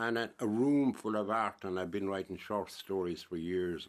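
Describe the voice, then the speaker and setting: A man with a Waterford accent and a fairly low pitch, at a moderate pace with ordinary pitch variation. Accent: Irish, Waterford. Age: 70s. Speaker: painter. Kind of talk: radio interview. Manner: robust, forceful talker.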